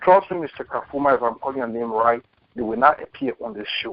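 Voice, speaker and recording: A man is speaking. His pace is fairly quick. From Liberia. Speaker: caller. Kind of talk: call-in comment. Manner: animated.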